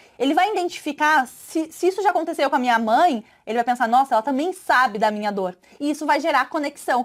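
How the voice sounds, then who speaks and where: A woman talks at a fairly quick pace in a high pitch, her voice making very wide pitch swings. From southern Brazil, Santa Catarina. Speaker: sales trainer. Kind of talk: online course lesson. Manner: hesitant, filler-heavy.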